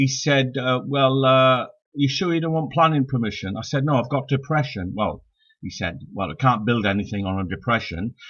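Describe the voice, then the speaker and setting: Lively intonation at a moderate pace, with a Welsh accent. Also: man, medium pitch for a man. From Wales, Swansea Valley. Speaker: stand-up comedian. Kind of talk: stand-up. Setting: live-streamed online show. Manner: halting.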